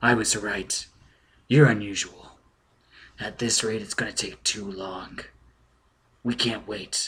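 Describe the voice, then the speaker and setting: In a put-on character voice that is raspy, the speaker goes at a fairly slow pace with fairly even intonation, big swings in loudness and long, frequent pauses. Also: man, fairly low pitch for a man. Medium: read story. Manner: dry.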